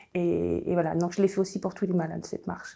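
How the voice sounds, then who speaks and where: A woman's voice comes through at a medium pitch. The recording is very clean, and the background is silent. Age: 60s. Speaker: cancer patient. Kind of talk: testimony. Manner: halting, many hesitations.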